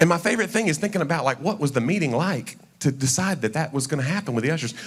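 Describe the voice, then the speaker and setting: A man with a Southern accent speaks very fast in an animated tone. His pitch swings very widely, and there is noticeable background noise. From Tennessee, Knoxville. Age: 40s. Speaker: comedian. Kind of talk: stand-up. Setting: stage with audience.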